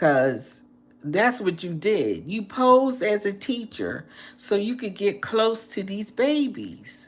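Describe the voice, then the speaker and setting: A woman's medium-pitched voice, very slow in pace, with lively intonation. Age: 60s. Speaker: livestreamer. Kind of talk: casual livestream chat with viewers. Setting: live video stream. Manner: repetitive, halting with fillers.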